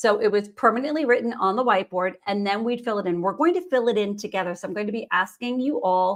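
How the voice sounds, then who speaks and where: A woman speaks at a very fast pace with hardly any pauses. Her pitch is fairly high. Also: ordinary pitch variation. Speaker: nutrition professional hosting a live Q&A webinar. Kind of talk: live webinar teaching session. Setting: live stream video call.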